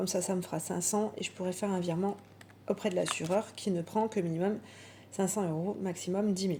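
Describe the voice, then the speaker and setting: A woman speaks at a fairly quick clip in a medium pitch, her dark, mellow tone somewhat breathy and her intonation flat and monotone. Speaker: budgeting vlogger. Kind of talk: casual monologue vlog.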